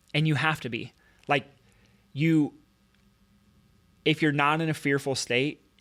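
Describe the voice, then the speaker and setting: An animated tone comes through at a fairly quick pace on a very clean recording with a silent background. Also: man. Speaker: chiropractor. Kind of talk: podcast conversation. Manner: fast.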